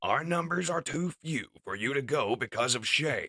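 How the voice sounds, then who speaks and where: A man puts on a character voice with a high pitch. He speaks at a moderate pace. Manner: calm, reassuring.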